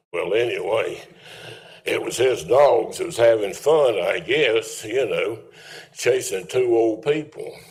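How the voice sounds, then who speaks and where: Speech unfolds at a very slow pace. Audible room echo surrounds it. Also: man. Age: 80s+. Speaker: resident speaking at public comment. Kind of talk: public comment at town meeting. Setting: town council meeting. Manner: rambling, folksy.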